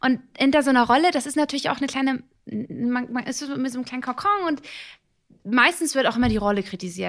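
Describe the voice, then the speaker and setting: A woman's high-pitched, animated voice at a very fast pace with lively intonation. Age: 30s. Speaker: actress and TV presenter. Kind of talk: casual interview.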